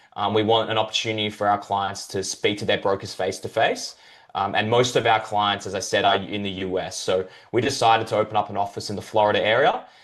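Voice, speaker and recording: With an Australian accent, a man talks at a very fast pace in a monotone, flat way, his pitch fairly low. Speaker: crypto brokerage representative. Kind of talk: interview. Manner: hesitant fillers.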